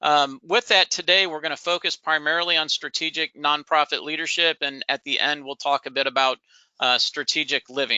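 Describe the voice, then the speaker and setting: A man's fairly high voice at a fairly quick pace, with ordinary pitch variation. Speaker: nonprofit consultant and professor. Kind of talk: webinar presentation. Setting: online webinar. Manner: fast.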